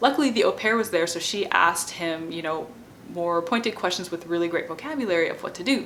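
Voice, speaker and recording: Over noticeable background noise, someone talks at a very fast pace with lively intonation. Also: woman, fairly low pitch for a woman. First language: not French; French is her non-native language. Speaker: bilingual parenting educator and PhD student. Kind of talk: informal educational talk to camera. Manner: conversational with many fillers (um, like).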